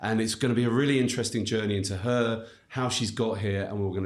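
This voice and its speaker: A man's fairly low voice with an English accent and ordinary pitch variation. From England. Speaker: podcast host, legal recruiter. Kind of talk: podcast interview. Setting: studio.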